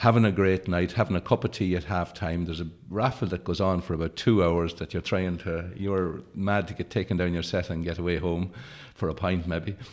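A man speaks with a very deep, low pitch and fairly even intonation. The background is quiet. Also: fairly quick pace. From County Leitrim, rural Ireland. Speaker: actor, writer; actor. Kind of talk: interview answer. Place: studio. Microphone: studio mic.

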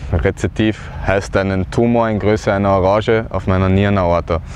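A man at a moderate pace with fairly even intonation, dry sound with no echo and light background noise. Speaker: cancer survivor. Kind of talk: personal testimony talk to camera. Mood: earnest, calm. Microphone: lapel.

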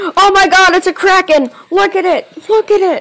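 Someone uses a put-on character voice at an extremely high pitch, talking at a moderate pace. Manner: panicked, exaggerated, shouting.

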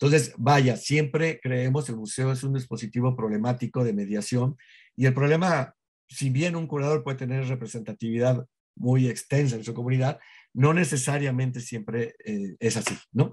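A somewhat breathy man speaks at a moderate pace with fairly even intonation over a quiet background. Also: medium pitch for a man. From Mexico. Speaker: museum director; guest. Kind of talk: interview conversation. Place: home room. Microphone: webcam.

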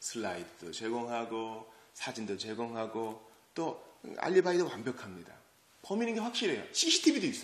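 Speaking at a moderate pace, a man delivers lines in an animated, dramatic tone with audible room echo. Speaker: preacher. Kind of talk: sermon at early-morning church service. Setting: church. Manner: animated, conversational, dramatic storytelling with rhetorical questions. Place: church.

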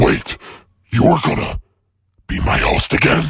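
Using a put-on character voice, a man speaks raspy and menacing at a fairly high pitch and a fairly slow pace. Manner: menacing, greedy.

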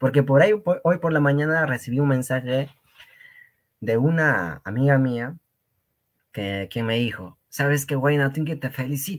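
A man with a fairly high voice speaks at a fairly slow pace in an animated tone, with ordinary pitch variation, long and frequent pauses, and a quiet background. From Peru, Cusco region (rural Quechua community). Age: young. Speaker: Quechua language teacher. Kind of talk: lecture. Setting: live stream.

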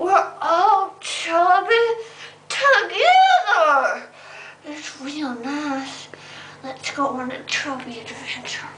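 A put-on character voice, female-sounding, at an extremely high pitch and a very slow pace. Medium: comedy sketch. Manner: babyish, silly, whiny.

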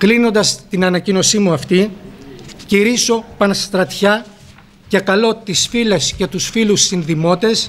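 A man with a high pitch and ordinary pitch variation speaks over light background noise. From Greece, Fthiotida (Locris); Greece. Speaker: politician. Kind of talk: formal speech. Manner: formal. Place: hall. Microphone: podium.

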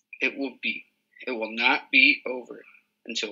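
The clip is plain reading aloud with fairly even intonation over a quiet background.

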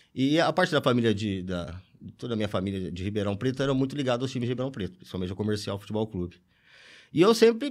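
A man speaks at a very fast pace in a medium pitch. His intonation is lively, and the background is quiet. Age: 40s. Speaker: football fan; podcast guest. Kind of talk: casual chat. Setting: studio. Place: studio. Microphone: studio mic.

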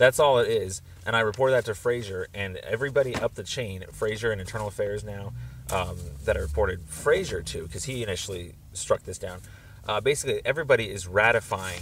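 A man talks at a very fast pace, somewhat breathy and with big swings in loudness. His pitch variation is ordinary, with light background noise. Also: dry sound with no echo. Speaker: caller. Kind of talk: phone conversation, complaint explanation. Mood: earnest, somewhat frustrated.

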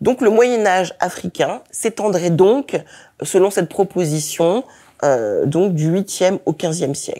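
Against a quiet background, a woman's dark, mellow voice moves at a very slow pace with lively intonation. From France, of Togolese parents. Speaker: historian, university lecturer; university lecturer. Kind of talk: lecture. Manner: hesitant, many fillers. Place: hall.

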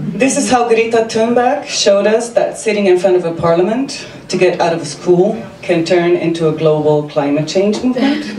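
A woman with a Slovenian accent speaks at a moderate pace with hardly any pauses. Audible room echo and light background noise surround her voice. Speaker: service designer and amateur comedian. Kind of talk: stand-up comedy set with self-deprecating punchlines. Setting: stage with audience. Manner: wry, self-mocking delivery timed for audience laughs; brisk, run-on setups building to punchlines. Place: stage.

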